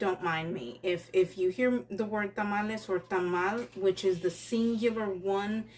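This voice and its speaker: Fairly slow female speech at medium pitch, with ordinary pitch variation. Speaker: home cook vlogger. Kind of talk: casual cooking vlog. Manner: chatty.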